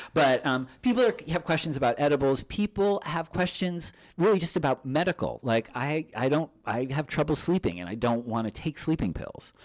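This man's fairly high voice, touched with vocal fry, swings very widely in pitch. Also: moderate pace, dry, close sound with no echo, very clean recording, silent background. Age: 50s. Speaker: magazine publisher. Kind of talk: interview. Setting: studio.

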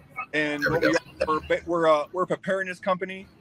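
A man with an American accent talks at a moderate pace in a high, monotone, flat voice, with a dry, close sound free of echo but noticeable background noise. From Ohio. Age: 40s. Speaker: army veteran, company executive. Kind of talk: casual interview.

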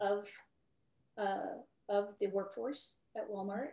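A woman at a medium pitch. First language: Spanish. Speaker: retired retail executive. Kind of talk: interview.

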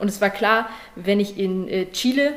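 A woman speaks at medium pitch with fairly even intonation. Noticeable background noise runs underneath. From Saxony, Germany (Leipzig). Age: 20s. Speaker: judo athlete. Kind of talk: interview.

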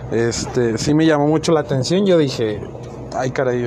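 Noticeable background noise sits behind a man who speaks at a moderate pace with ordinary pitch variation. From northern Mexico, Chihuahua. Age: 20s. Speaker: amateur podcaster. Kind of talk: solo monologue podcast. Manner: halting, many fillers.

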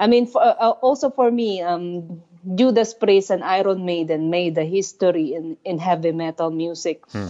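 A fairly low-pitched woman's voice with a Filipino accent, at a moderate pace with ordinary pitch variation. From Philippines. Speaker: heavy metal musician. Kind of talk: casual chat. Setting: phone call. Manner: halting.

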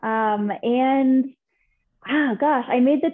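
This woman speaks with an American accent. Her pitch varies in an ordinary way. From California. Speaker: business consultant. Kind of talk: interview.

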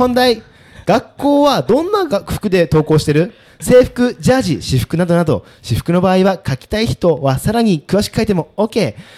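A man with a high pitch speaks in an animated tone at a moderate pace, his pitch swinging very widely. The sound is dry and close, with no echo. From Japan, Sapporo. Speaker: podcast host. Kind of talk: casual chat. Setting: quiet upstairs room of a pub.

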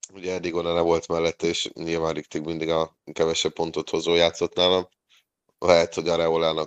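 A man speaks at a moderate pace. The sound is dry and close with no echo over a quiet background. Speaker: fantasy football podcast co-host. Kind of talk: casual chat.

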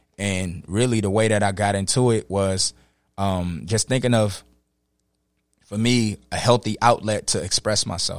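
This man has an American accent and a fairly low pitch, talking at a moderate pace with fairly even intonation on a very clean recording with a silent background. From Los Angeles. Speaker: rapper and poet. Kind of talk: casual chat. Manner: halting, many fillers.

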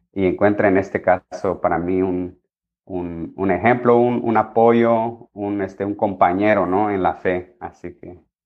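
A man with a fairly low voice speaks at a fairly slow pace, his intonation fairly even while his loudness swings widely. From Mexico, Michoacán (Cherán). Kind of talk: interview testimony. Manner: halting, many fillers and repetitions.

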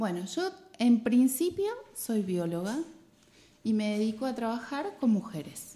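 A woman with a dark, mellow tone and a fairly high voice speaks at a fairly slow pace, her pitch swinging very widely between long, frequent pauses. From Argentina, Mar del Plata. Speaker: biologist and women's health educator. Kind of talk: radio interview.

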